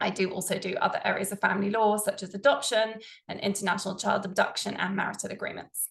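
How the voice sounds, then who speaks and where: A woman with a British accent speaks at a very fast pace. Her voice is somewhat breathy, with fairly even intonation. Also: medium pitch for a woman. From England, London. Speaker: family lawyer. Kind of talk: presentation. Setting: online presentation with screen share.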